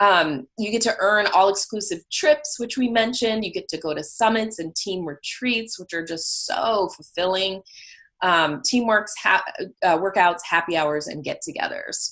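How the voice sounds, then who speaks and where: This woman's intonation is lively. Her pitch sits in the medium range. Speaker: online fitness coach. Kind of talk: business presentation. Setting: video call. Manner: fast.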